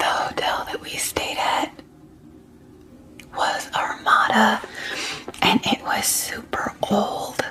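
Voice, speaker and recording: Whispering in a soothing tone, a woman speaks at a very slow pace with long, frequent pauses over noticeable background noise. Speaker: ASMR creator and mother. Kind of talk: ASMR get ready with me, casual talk to camera. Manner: soft, soothing, whispered.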